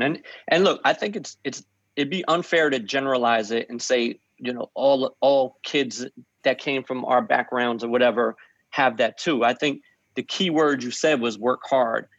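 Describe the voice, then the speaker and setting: An unremarkable speaking voice from a man with an American accent, medium pitch, ordinary pitch variation and a moderate pace, dry and close with no echo over a quiet background. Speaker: music label founder. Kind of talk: interview.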